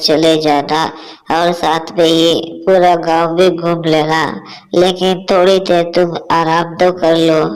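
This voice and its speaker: A cartoonish character voice sits at a middle pitch. It moves at a fairly slow pace with monotone, flat intonation. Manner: doting, chatty.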